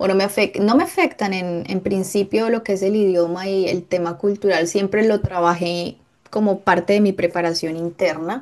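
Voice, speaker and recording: A normal speaking voice, moderately paced, its intonation fairly even. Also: woman, medium pitch for a woman. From Colombia. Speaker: podcast guest, host's sister. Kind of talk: casual interview chat.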